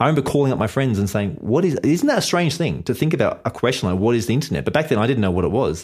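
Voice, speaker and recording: A man with an Australian accent at medium pitch, very wide pitch swings, vocal fry, very even loudness and a very fast pace with hardly any pauses. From Australia, Sydney / Blue Mountains. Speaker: web entrepreneur. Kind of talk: podcast interview.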